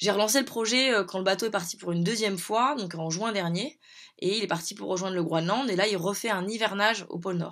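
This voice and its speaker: Here a woman talks at a fairly quick pace. Her background is quiet. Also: ordinary pitch variation. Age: 30s. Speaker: educational program coordinator. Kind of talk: video message to schoolchildren. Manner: halting, many hesitations. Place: home room. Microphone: phone near.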